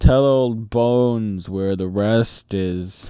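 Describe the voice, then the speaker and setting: Using a put-on character voice, a man speaks very slowly at a fairly low pitch. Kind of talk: archaic pirate speech. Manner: growling, threatening.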